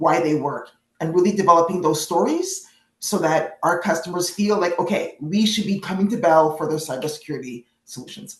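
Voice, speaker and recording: Somewhat breathy and fairly low in pitch, a woman talks at a fairly quick pace with ordinary pitch variation. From Canada. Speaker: product marketing manager, webinar speaker. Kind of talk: casual chat before webinar. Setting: live online webinar.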